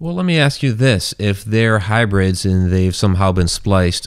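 A man with an unremarkable speaking voice, fairly low pitch, lively intonation and a moderate pace. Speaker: podcast host and author. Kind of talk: casual interview chat. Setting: online livestream with chat.

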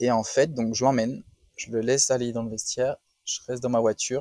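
A man speaking at a moderate pace. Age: 40s. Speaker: business owner, retail. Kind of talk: testimony.

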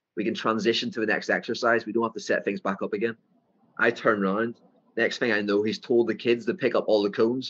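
A man with a medium-pitched voice races through his words very fast, his pitch varying in an ordinary way. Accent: strong Northern Irish. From Northern Ireland. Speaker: football coach. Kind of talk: interview. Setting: video call.

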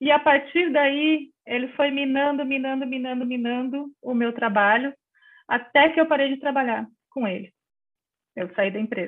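A woman talks with a high pitch and ordinary pitch variation, keeping a moderate pace. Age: 50s. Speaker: journalist. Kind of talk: interview.

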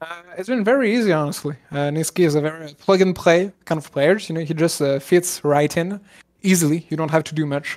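A normal speaking voice, fairly quick in pace, with ordinary pitch variation. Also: man, fairly high pitch for a man. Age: 30s. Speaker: esports coach and former caster. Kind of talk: casual interview.

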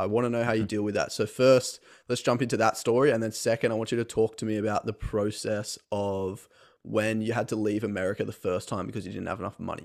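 A man with an Australian accent at a very fast pace, fairly low in pitch, his intonation monotone and flat. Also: very clean recording, silent background. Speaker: podcast host. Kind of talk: interview conversation.

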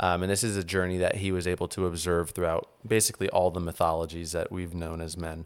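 A man with an American accent speaks at a fairly quick pace in a very deep, low pitch. His intonation stays monotone and flat, and the recording is very clean with a silent background. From New Orleans, US South. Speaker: podcast host. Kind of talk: casual interview conversation.

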